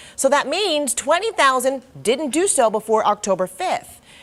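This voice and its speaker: In an American accent, a woman with a normal speaking voice talks at a fairly quick pace with lively intonation. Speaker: news anchor and reporter. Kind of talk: local TV news anchoring.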